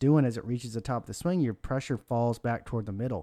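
Over a silent background in a very clean recording, a man with a plain, everyday voice talks at a fairly quick pace with ordinary pitch variation. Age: 40s. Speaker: golf instructor. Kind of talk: casual instructional chat.

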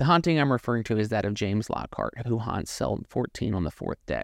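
A plain, everyday voice comes through here. The pace is fairly quick. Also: man, quiet background. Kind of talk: true-crime narration; scripted intro then casual chat. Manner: measured, ominous storytelling.

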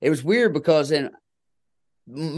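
Against a quiet background, a man with an American accent speaks at a fairly high pitch. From Kentucky. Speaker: country singer-songwriter. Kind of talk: casual chat.

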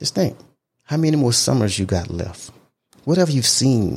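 A somewhat breathy man speaks at a moderate pace, his pitch swinging very widely. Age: 50s. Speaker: podcast host. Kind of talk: solo monologue. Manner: casual, conversational.

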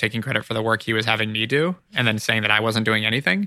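Using a Californian accent, a man speaks at a very fast pace with a medium pitch and a bright, sharp tone. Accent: Californian American. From California (Ojai). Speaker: marketing agency founder and CEO. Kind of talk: interview, casual business chat.

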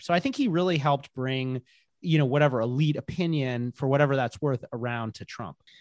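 A man with a medium pitch talks at a very fast pace, the sound dry and close with no echo. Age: 30s. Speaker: journalist and author. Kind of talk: interview. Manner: halting, many fillers.

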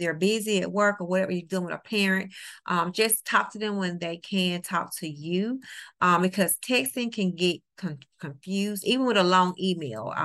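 A woman speaks in a New Orleans accent at medium pitch and a moderate pace, with ordinary pitch variation. The background is quiet. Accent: US Southern (New Orleans). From New Orleans, Louisiana. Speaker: teacher and tutor. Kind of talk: interview.

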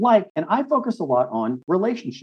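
The speaker is a man. He talks with an American accent. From Texas. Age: 50s. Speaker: midlife coach and author. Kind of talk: casual interview chat.

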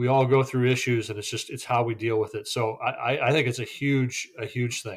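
On a very clean recording with a silent background, a man with a medium pitch sounds somewhat breathy at a moderate pace. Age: 50s. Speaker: recovering gambling addict. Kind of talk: casual interview.

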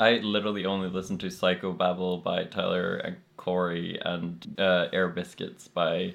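A man with a Norwegian accent at a moderate pace, with hardly any pauses. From Norway. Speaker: podcast guest. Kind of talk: casual chat.

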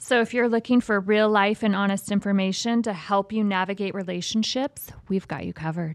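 A woman with an American accent has an unremarkable speaking voice at a medium pitch, talking at a fairly quick pace with hardly any pauses and ordinary pitch variation, in a dry, close sound with no echo. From Las Vegas, US. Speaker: podcast co-host. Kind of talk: casual chat; scripted show intro. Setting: studio.

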